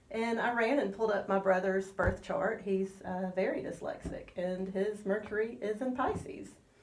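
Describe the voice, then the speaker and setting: With noticeable background noise and audible room echo, a woman talks with hardly any pauses. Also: medium pitch for a woman, ordinary pitch variation. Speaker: astrologer. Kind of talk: radio interview. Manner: slow.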